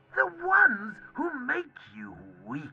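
A put-on character voice with a theatrical tone. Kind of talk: audio comic drama. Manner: taunting, theatrical, unhinged.

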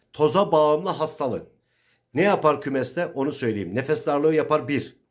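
A man talks at a moderate pace in a fairly high pitch with vocal fry. His tone is animated, and the background is quiet. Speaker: pigeon breeder YouTuber. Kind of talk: informal tutorial. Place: home room. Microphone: phone near.

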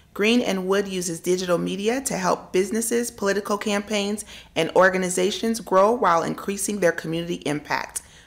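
A woman at medium pitch talks at a fairly quick pace, with hardly any pauses and fairly even intonation. Noticeable background noise runs underneath. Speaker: talk show co-host. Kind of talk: casual interview. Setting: studio.

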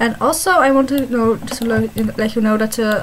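A Dutch accent comes through in this speech. Background noise is noticeable. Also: woman. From Netherlands. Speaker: online game video creator. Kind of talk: casual gameplay commentary.

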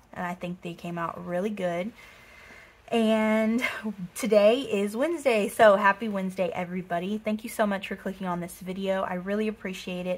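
An upbeat, somewhat breathy woman speaks with an American accent. Her pace is moderate. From Texas. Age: 20s. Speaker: budgeting vlogger. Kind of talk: casual talk to camera. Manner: chatty, upbeat. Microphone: phone near.

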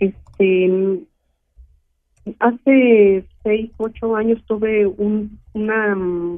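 Pausing long and often, a woman speaks at a very slow pace with a fairly high pitch and fairly even intonation. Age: 60s. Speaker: caller. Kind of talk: phone-in health consultation. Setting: phone call. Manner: halting.

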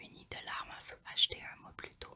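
Noticeable background noise runs under this clip. A woman whispers very slowly. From Quebec. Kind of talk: ASMR true crime narration. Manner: whispered.

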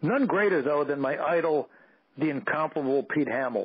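A man talks with a New York accent at a fairly high pitch. His pace is moderate. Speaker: radio show guest. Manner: reading aloud from his own written piece.

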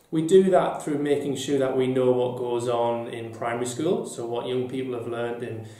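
A man speaks with fairly even intonation, and audible echo fills the room. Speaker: deputy head teacher. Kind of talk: interview answer. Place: office.

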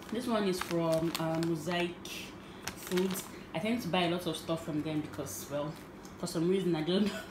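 Moderate pace amid noticeable background noise. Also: woman. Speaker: home cook vlogger. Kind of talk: cooking tutorial. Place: kitchen. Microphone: phone near.

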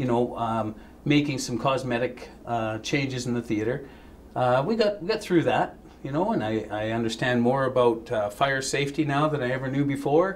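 A man talks at moderate speed, his pitch varying in an ordinary way, as light noise sits in the background. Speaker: interview guest. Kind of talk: interview answer. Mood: relaxed, occasional laughs. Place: studio.

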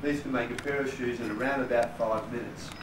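A man speaks very fast. Noticeable background noise is present. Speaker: clog maker demonstrator. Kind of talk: demonstration talk to visitors. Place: shop. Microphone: camera far.

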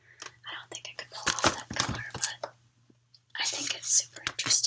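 A woman whispers at a moderate pace. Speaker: vlogger. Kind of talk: casual vlog chat. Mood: relaxed, chatty. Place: home room. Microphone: webcam.

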